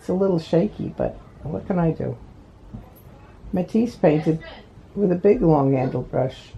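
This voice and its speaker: A fairly low-pitched woman's voice with lively intonation, a moderate pace and long, frequent pauses, over noticeable background noise. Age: 80s+. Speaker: amateur painter. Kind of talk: casual video diary. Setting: hospital bed at home.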